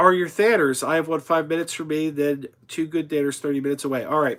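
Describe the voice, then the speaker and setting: On a very clean recording with a silent background, a man with an American accent talks at a fairly quick pace in a fairly high pitch with a bright, sharp tone. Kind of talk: live stream chat reading comments. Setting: live stream.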